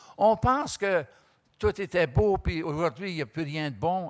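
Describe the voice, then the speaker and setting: A man speaks with a high pitch and ordinary pitch variation. The recording is very clean, with a silent background. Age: 80s+. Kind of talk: panel talk. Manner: halting, many repetitions and hesitations.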